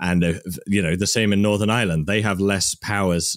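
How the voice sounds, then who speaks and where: Speech with a West Midlands accent on a very clean recording with a silent background. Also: man. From England, Worcester. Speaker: science video creator. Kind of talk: casual chat.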